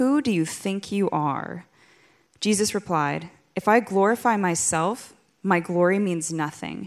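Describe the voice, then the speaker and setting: At a fairly slow pace, a woman with a plain, everyday voice speaks at a medium pitch with ordinary pitch variation. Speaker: scripture reader. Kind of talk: reading scripture aloud.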